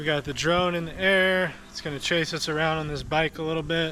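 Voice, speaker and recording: With audible room echo and noticeable background noise, an enthusiastic man speaks at a fairly high pitch and a moderate pace. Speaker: product reviewer / YouTuber. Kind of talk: product review tutorial. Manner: casual, enthusiastic.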